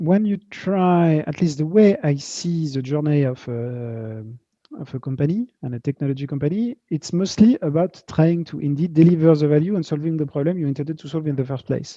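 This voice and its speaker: With a slight French accent, a man talks at a fairly quick pace and a fairly high pitch. His tone is dark and mellow, with ordinary pitch variation. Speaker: tech company founder and CEO. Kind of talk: interview at virtual fireside chat. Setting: video call. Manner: halting, many fillers and repetitions.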